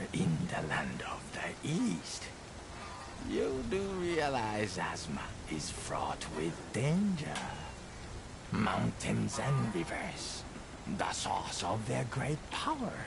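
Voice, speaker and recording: A man's put-on character voice at a very slow pace, with loud background noise. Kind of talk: formal old-fashioned speech. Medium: game stream. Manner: measured, archaic, philosophical.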